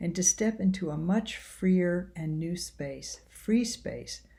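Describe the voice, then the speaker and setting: Her voice has a dark, mellow tone that is somewhat breathy. The woman speaks at a fairly low pitch and a fairly slow pace. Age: 60s. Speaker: seminary professor. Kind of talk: recorded self-introduction to a course. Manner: reflective.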